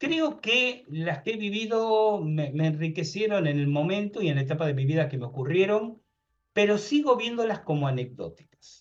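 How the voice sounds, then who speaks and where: At a moderate pace, a man speaks in a high pitch with very wide pitch swings. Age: 60s. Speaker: paranormal researcher and author. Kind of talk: interview conversation.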